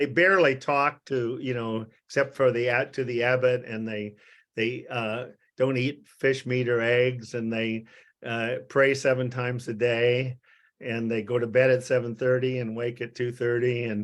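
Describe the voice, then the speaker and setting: Over a quiet background, a man with an American accent talks at a moderate pace in a medium pitch with monotone, flat intonation. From US Midwest. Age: 80s+. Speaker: psychiatrist. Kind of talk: interview. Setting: video call. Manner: halting.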